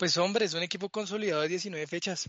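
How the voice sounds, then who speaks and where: A man speaks with fairly even intonation. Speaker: football pundit. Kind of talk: sports analysis chat.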